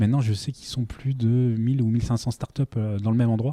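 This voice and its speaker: Fairly quick speech from a man, on a very clean recording with a silent background. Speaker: startup founder. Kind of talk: casual interview. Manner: hesitant, many fillers.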